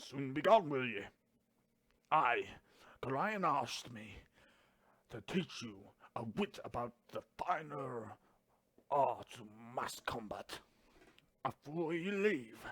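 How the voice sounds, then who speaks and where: A man puts on a character voice, raspy and gruff with a fairly high pitch, moving at a fairly slow pace with long, frequent pauses, very wide pitch swings and big swings in loudness. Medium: game stream. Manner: archaic, gruff.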